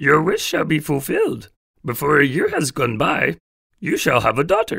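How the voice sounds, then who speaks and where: This man puts on a character voice at a moderate pace. His pitch sits fairly high. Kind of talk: read story. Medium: read story.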